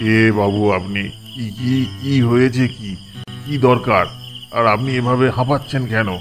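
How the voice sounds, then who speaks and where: Through clear background noise, a man uses a rumbling, put-on character voice at a medium pitch, keeping a moderate pace and fairly even intonation. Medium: cartoon. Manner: grumbling.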